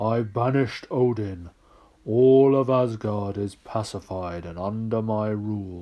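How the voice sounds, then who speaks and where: A man puts on a character voice, fairly low in pitch. He speaks at a very slow pace. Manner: portentous, boastful.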